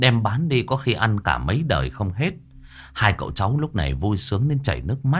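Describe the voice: Simple, plain reading of a text aloud.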